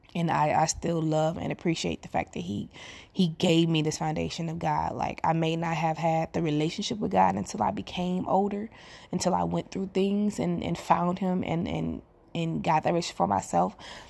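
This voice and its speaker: A woman talks at a moderate pace with only a quiet background behind her. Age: 30s. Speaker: podcaster, single mother. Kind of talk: personal monologue. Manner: casual, conversational.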